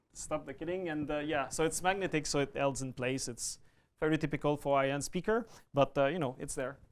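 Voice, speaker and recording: A man with a fairly high pitch and ordinary pitch variation at a fairly quick pace, on a very clean recording with a silent background. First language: French. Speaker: audio product manager. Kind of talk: product demonstration.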